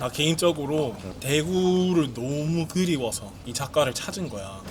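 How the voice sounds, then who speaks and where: A man with a fairly high pitch speaks at a fairly slow pace with lively intonation, against noticeable background noise. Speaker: foreign YouTuber speaking Korean. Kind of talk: casual talk to camera.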